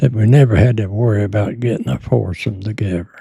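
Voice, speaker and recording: A somewhat breathy, dark, mellow voice with a Southern US accent and ordinary pitch variation. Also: man. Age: 90s. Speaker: war veteran. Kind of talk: interview. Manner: halting.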